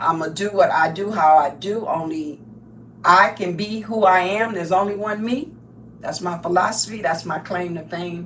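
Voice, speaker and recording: Animated in tone, a woman speaks at medium pitch with ordinary pitch variation and big swings in loudness. Her pace is moderate, and audible room echo is present. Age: 70s. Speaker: crafting livestreamer. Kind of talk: casual live stream monologue.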